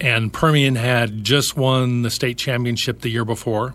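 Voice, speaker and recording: In a very clean recording with a silent background, a man with an American accent speaks fairly slowly at a medium pitch, his intonation flat and monotone. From Utah and Idaho, then El Paso. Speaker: former football player. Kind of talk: casual interview. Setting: studio.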